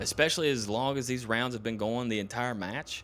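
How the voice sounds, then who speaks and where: A man speaks at a medium pitch. He has a Southern US accent. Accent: southern twang. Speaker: esports co-caster. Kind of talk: live commentary. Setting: live stream.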